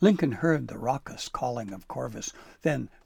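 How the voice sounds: The voice heard is a natural reading voice.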